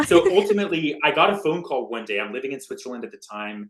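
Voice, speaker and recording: A man talks at a very fast pace. He speaks with an American accent. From United States. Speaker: tech company executive. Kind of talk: podcast interview. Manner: plain simplified speech.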